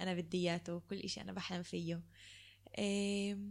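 A woman with a medium pitch speaks in a monotone, flat intonation at a moderate pace on a very clean recording with a silent background. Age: 20s. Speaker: podcast co-host, occupational therapy student. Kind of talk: casual chat, personal testimony.

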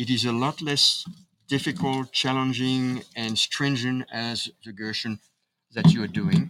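With a French accent, a man talks at a fairly slow pace, with a medium pitch, ordinary pitch variation and big swings in loudness. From Paris, France. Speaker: chiropractor and speaker. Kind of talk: casual interview conversation. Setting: outdoors.

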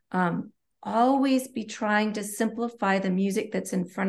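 Somewhat breathy speech at a fairly slow pace carries fairly even intonation over a quiet background. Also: woman. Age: 40s. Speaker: collaborative pianist. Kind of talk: podcast interview.

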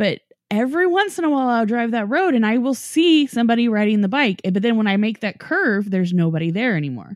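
A woman with an American accent speaks at a very fast pace with hardly any pauses. Her fairly high pitch swings very widely while her loudness stays very even. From Norman, Oklahoma. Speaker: paranormal podcast host. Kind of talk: casual chat.

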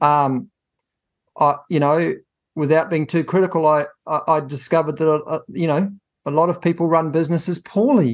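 Speaking with a New Zealand accent, a man uses a fairly high pitch and fairly even intonation at a moderate pace. Long, frequent pauses break his speech against a quiet background. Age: 50s. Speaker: business coach and accountant. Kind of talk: interview. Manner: halting.

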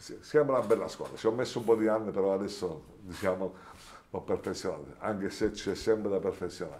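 A man with an ordinary speaking voice, fairly low in pitch, with ordinary pitch variation and a fairly quick pace. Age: 60s. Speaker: hi-fi shop owner. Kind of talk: interview at a trade event. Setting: at a hi-fi event.

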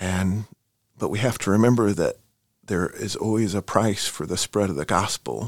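In a normal speaking voice, a man talks at a moderate pace with ordinary pitch variation, the sound dry and close with no echo. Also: fairly low pitch for a man. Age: 40s. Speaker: missionary. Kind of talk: interview.

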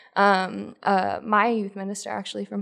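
A woman's medium-pitched voice at a moderate pace, against a quiet background. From New Jersey. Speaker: youth minister. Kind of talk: casual chat. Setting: retreat.

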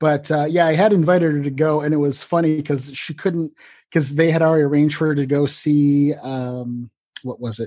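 Against a quiet background, a man with a dark, mellow tone talks at a fairly quick pace with fairly even intonation. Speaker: fan group member. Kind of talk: casual group video chat. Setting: video call.

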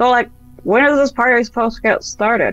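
In a put-on character voice at a fairly high pitch, the speaker races along at a very fast pace while faint music plays in the background. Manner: chewing with mouth full.

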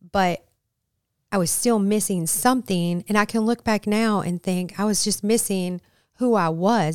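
A woman with an American accent talks in an ordinary speaking voice at medium pitch and a moderate pace, with ordinary pitch variation, on a very clean recording that has a silent background and a dry, close sound with no echo. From Michigan, Flint. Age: 50s. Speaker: ministry leader in addiction recovery. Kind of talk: podcast interview.

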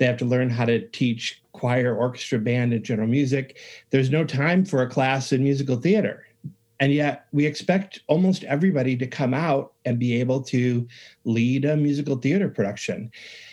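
A man with an American accent and an unremarkable speaking voice, medium in pitch, at a moderate pace, with ordinary pitch variation and very even loudness. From rural upstate New York. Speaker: music education professor and author. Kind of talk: interview.

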